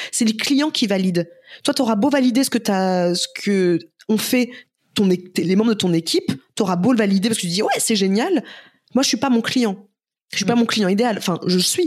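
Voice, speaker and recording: A woman with fairly high pitch and lively intonation, at a moderate pace with long, frequent pauses and very even loudness. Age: 30s. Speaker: entrepreneur and influencer. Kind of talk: casual interview.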